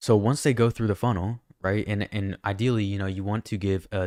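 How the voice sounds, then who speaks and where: A man with a fairly low pitch and a fairly quick pace, in a very clean recording with a silent background and a dry, close sound with no echo. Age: young. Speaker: music producer and online course teacher. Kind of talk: tutorial. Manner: fast; animated.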